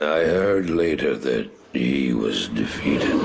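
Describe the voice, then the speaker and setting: Speaking at a moderate pace, a man uses a put-on character voice pitched very deep and low. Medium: short film. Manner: haunted, weary.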